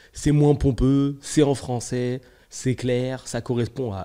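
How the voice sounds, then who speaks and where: Here a man talks at a very slow pace. His pitch is medium. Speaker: podcast host, entrepreneur and business consultant. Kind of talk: solo podcast monologue. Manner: casual, hesitant with many fillers.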